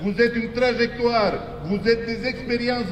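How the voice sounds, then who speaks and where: With noticeable background noise, a man speaks fairly slowly at an extremely high pitch and with fairly even intonation. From born outside Quebec. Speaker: politician. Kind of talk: protest speech. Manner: impassioned, rhetorical.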